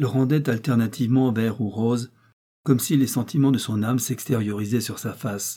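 Behind this unforced reading voice, the background is quiet.

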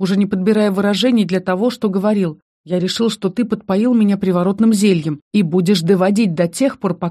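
Delivered in a natural reading voice with fairly even intonation, the speech sits over a quiet background.

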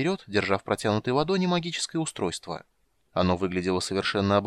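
This is reading aloud. It is in a natural voice.

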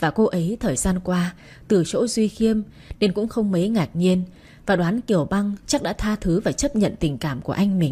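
The pitch shifts in an ordinary way throughout this natural reading.

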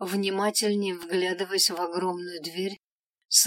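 Behind the voice, the background is quiet. The reading is done in an unforced voice.

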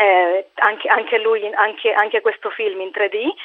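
A woman at a slow pace with fairly even intonation. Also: medium pitch for a woman.

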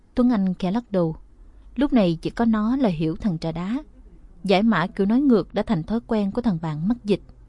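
What you hear is plain reading aloud.

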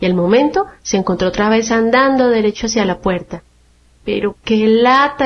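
The voice is a natural reading one. Its pitch varies in an ordinary way.

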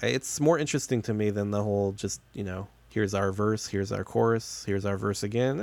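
Speaking at a very fast pace, a man has a fairly low pitch. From Chicago suburbs, US Midwest. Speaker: podcast co-host. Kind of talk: casual chat. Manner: joking, laid-back.

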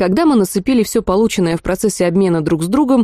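Lively intonation in an unforced reading voice

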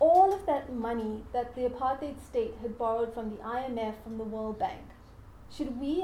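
A woman's fairly high, dark and mellow voice at a moderate pace, with audible room echo. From South Africa. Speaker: academic lecturer. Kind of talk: lecture.

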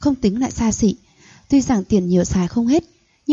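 Quiet background behind a natural reading voice.

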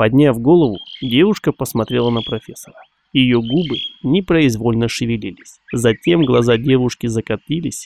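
Quiet background surrounds this one. It is an unforced reading voice.

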